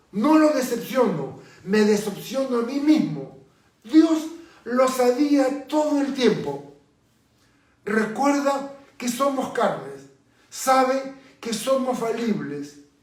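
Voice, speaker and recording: Speaking at a very slow pace with long, frequent pauses, a man uses an extremely high pitch and ordinary pitch variation amid audible room echo. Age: 60s. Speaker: pastor. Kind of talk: sermon.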